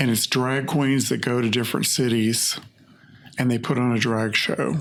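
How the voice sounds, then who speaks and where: Amid noticeable background noise, a man speaks at a moderate pace and medium pitch. His intonation is monotone and flat, his loudness very even. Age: 70s. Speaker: hair stylist and artist. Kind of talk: casual interview conversation. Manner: halting, with frequent repetitions.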